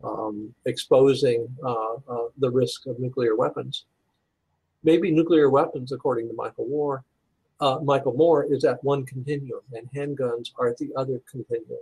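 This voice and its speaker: With an American accent, a man speaks in a somewhat breathy voice and fairly even intonation, the sound dry and close with no echo. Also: medium pitch for a man, moderate pace. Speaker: pastor and university administrator. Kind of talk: interview. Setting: call. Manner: halting, many fillers and repeats.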